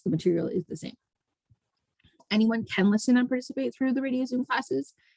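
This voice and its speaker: With a Canadian accent, the speaker has lively intonation in a dry, close recording with no echo. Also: woman. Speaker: math teacher. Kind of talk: online lesson. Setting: radio/video call broadcast. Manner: fast; casual, informal.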